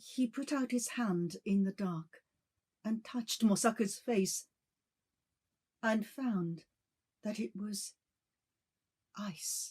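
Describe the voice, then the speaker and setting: Somewhat breathy, a woman speaks very slowly at a fairly high pitch, with ordinary pitch variation and long, frequent pauses. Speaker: bilingual announcer. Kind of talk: ghost story reading. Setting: shamisen accompaniment.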